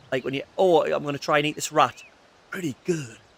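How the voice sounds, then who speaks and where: Against noticeable background noise, a man with an English accent talks at a fairly quick pace and a fairly high pitch, with ordinary pitch variation, in a dry, close sound with no echo. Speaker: gaming streamer. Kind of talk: casual gameplay commentary. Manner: animated.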